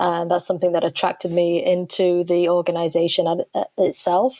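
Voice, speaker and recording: In an English accent, a woman speaks at a fairly quick pace with a fairly low pitch and a dark, mellow tone. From England. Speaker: soccer coach. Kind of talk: interview.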